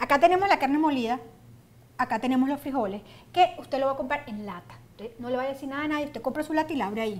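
A woman speaks at a very fast pace in a high voice with ordinary pitch variation. Her loudness swings widely. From Venezuela. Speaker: cooking show host. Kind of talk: casual chat; tutorial. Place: studio. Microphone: lapel.

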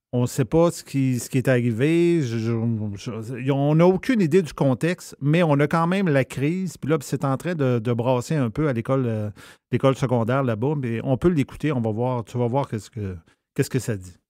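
Dark, mellow tone at a moderate pace, ordinary pitch variation, and a very clean recording with a silent background. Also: man, medium pitch for a man. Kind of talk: casual chat.

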